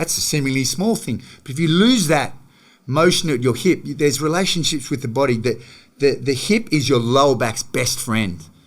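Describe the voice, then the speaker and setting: A man with an Australian accent, a fairly high pitch, lively intonation and a fairly quick pace. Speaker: gym manager and movement coach. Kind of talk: podcast interview. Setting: studio, in person. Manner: fast; animated.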